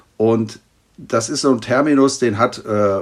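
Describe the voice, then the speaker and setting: A man talks with fairly even intonation and a fairly low pitch. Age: 50s. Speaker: pediatric trauma surgeon. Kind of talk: expert interview. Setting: remote internet recording.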